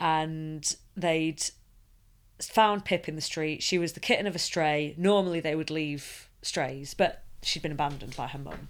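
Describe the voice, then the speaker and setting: A woman speaks at a fairly slow pace, her pitch very deep and low. Her intonation stays fairly even, and the recording is very clean with a silent background. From Sheffield, northern England. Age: 30s. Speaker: charity worker. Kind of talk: casual interview.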